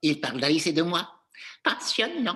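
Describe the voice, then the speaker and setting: In a put-on character voice, the speaker talks at a moderate pace with a middle pitch. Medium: read story.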